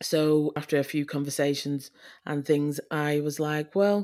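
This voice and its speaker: A woman's very deep, low voice in a Yorkshire accent at a moderate pace, on a very clean recording with a silent background. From Leeds, northern England. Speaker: adoptive mother. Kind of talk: interview.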